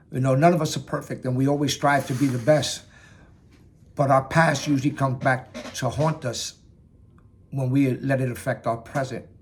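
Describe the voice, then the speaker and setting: A somewhat breathy man speaks at medium pitch and a moderate pace in a monotone, flat intonation. Long, frequent pauses break up his speech. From New York, Bronx/Yonkers. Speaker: Marine veteran speaking on mental health. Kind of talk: personal testimony talk.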